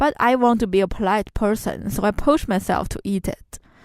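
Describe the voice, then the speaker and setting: A woman's medium-pitched voice with a Chinese accent, moderate pace and ordinary pitch variation, on a very clean recording with a silent background. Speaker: student podcast host. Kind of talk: scripted narration.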